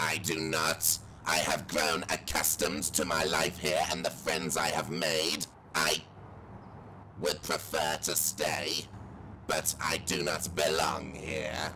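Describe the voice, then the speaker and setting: Against clear background noise, a man speaks fairly slowly with long, frequent pauses. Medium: comedy sketch. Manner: stiff, flat, formal robotic phrasing.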